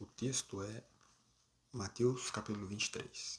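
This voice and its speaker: A soft-spoken man talks at a fairly low pitch and a fairly slow pace. His voice is somewhat breathy, with fairly even intonation. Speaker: preacher. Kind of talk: sermon.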